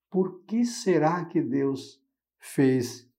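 A man speaks very slowly in a dark, mellow tone, with audible echo from the room. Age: 60s. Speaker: religious commentator. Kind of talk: gospel reflection. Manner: informal, conversational.

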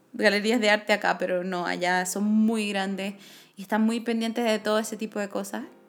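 A woman speaks in a Chilean accent. Her pitch is fairly high. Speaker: podcast co-host. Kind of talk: casual chat.

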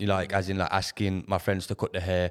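A man speaks in a very deep, low voice with flat, monotone intonation. The recording is very clean, with a silent background. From Leicester, East Midlands of England. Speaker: men's mental health group founder and professional dancer. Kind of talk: casual interview chat.

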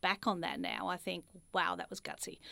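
Recorded very cleanly against a silent background, a woman with an Australian accent speaks at a moderate pace. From Australia, Ballarat (regional Victoria). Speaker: franchise executive. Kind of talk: interview conversation.

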